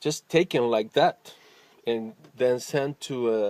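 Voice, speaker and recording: A man with a Spanish accent speaks at medium pitch with fairly even intonation, the sound dry and close with no echo. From Argentina. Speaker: musician. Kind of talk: personal vlog monologue. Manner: spontaneous, with fillers and hesitations.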